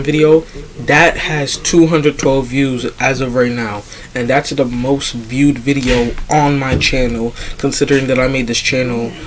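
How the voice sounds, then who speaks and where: A man speaks in a flat monotone at a moderate pace. Noticeable noise sits in the background. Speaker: fan commentary youtuber. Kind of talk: casual monologue. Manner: hesitant, many fillers.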